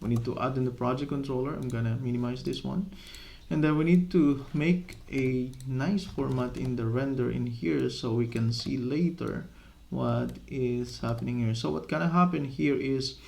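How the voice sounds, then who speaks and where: A man with a non-native accent talks at a moderate pace and medium pitch. His intonation is lively, and the room echo is audible. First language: not English. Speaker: software development tutor. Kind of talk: coding tutorial. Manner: halting, with many fillers.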